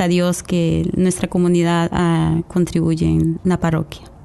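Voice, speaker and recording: Very slowly, the speaker talks while noticeable background noise persists. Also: woman. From Costa Rica. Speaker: lay church coordinator. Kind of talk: radio interview with testimony. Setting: radio studio. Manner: hesitant, many fillers.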